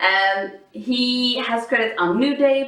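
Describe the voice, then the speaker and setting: A woman's high-pitched voice at a very slow pace, with audible room echo. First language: not English. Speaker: podcast co-host. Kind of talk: casual chat.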